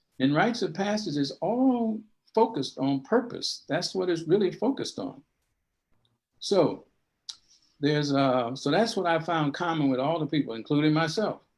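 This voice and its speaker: With an American accent, a man speaks in a high pitch at a moderate pace. His pitch swings very widely, and he leaves long, frequent pauses. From US South, Alabama. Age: 70s. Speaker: rites of passage educator, elder. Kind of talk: interview talk on a live stream podcast. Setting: live stream.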